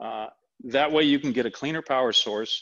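Quiet background behind a man speaking. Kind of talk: tutorial. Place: garage.

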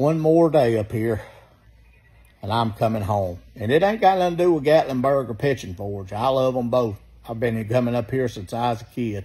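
The man's voice is somewhat breathy, with lively intonation. He keeps a moderate pace. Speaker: vacation vlogger. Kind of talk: casual vlog chat. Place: home room. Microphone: phone near.

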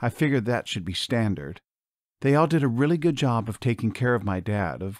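Lively intonation colors a natural reading voice over a quiet background.

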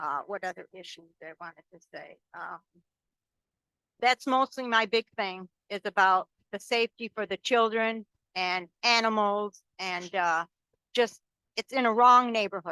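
Woman with an American accent at medium pitch, bright, sharp tone, ordinary pitch variation, big swings in loudness, fairly slow pace with long, frequent pauses, and a dry, close sound with no echo. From Binghamton, New York, US. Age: 70s. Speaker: resident giving public comment. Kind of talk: public comment at a planning meeting.

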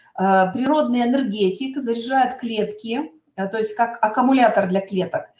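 Somewhat breathy speech at a fairly slow pace, with ordinary pitch variation and audible room echo. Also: woman. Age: middle-aged. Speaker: cosmetics sales consultant. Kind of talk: webinar product presentation. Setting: online webinar. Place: home room. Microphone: webcam.

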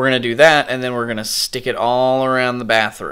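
A man's bright, sharp tone over a quiet background. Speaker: home vlogger. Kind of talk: casual vlog chat. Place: home room. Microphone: phone near.

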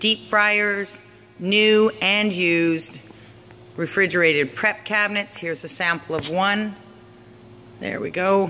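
Someone speaks at a fairly slow pace with long, frequent pauses over light background noise. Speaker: auctioneer / promotional presenter. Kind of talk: promotional walkthrough narration for an auction. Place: hall. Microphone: phone near.

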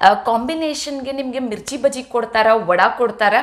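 A woman speaks in a high pitch with ordinary pitch variation. The background is quiet. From North Karnataka, Hubballi; Karnataka. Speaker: cooking vlogger. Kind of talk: cooking tutorial vlog. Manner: chatty, talkative. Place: kitchen. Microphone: camera far.

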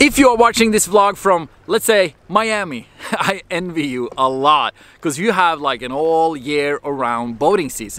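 A man's bright, sharp voice with very wide pitch swings and a dry sound with no echo. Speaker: marine mechanic vlogger. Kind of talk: casual vlog chat. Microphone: phone near.

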